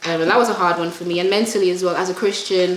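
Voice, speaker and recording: A woman speaks in a flat monotone, with audible room echo and noticeable background noise. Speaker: gospel singer. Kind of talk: interview on cooking chat show.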